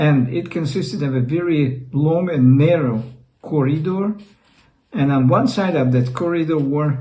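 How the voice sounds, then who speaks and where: A Russian accent at a fairly slow pace with ordinary pitch variation, in audible room echo. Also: man. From Russia (Leningrad). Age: 60s. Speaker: YouTuber. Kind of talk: personal storytelling. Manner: halting.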